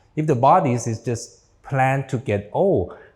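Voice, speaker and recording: Somewhat breathy, a man talks at a very slow pace. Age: 60s. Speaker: doctor. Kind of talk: lecture.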